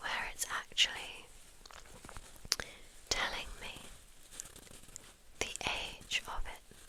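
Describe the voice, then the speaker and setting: A woman whispering very slowly over noticeable background noise. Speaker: ASMR content creator. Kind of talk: ASMR show-and-tell, ear to ear whispers. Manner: whispered, soft-spoken, repeating words.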